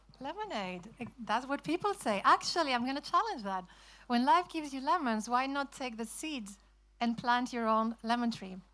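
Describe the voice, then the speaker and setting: Speaking with a Spanish accent, a woman uses lively intonation at a moderate pace, her high pitch carrying a bright, sharp tone. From Spain. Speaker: author. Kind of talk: festival talk.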